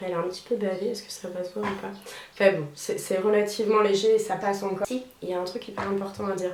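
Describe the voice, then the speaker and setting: At a fairly quick pace, a woman talks in a medium pitch with fairly even intonation, with audible room echo and noticeable background noise. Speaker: DIY video creator. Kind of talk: tutorial. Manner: casual, chatty with many fillers.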